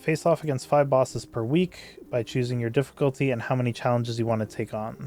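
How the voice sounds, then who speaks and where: With music in the background, a man speaks at medium pitch and with fairly even intonation. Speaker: gaming content creator. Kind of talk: reading and commenting on patch notes. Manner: casual, conversational.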